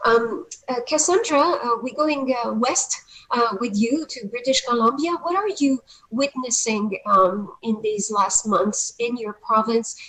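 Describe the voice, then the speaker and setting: Lively intonation in a French accent, at a fairly slow pace, over noticeable background noise. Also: woman, high pitch for a woman. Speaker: panel moderator. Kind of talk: panel discussion. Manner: hesitant, many fillers.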